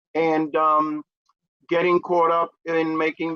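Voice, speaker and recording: In a New York accent, a man speaks with a bright, sharp tone. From New York City (Manhattan). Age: 60s. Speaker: peer recovery advocate. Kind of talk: interview. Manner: frequent fillers (uh, um).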